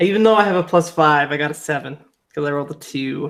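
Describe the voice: This man's voice is fairly high in pitch and fairly bright in tone, with fairly even intonation.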